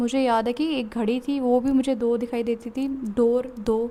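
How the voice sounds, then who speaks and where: Noticeable background noise sits behind a woman whose fairly high voice stays monotone and flat. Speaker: vlogger sharing stroke recovery. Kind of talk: personal testimony. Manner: code-switching Hindi and English.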